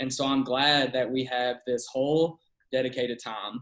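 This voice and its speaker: Medium-pitched male voice in a Kentucky accent, moderate pace and fairly even intonation. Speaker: pastor. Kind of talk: casual chat.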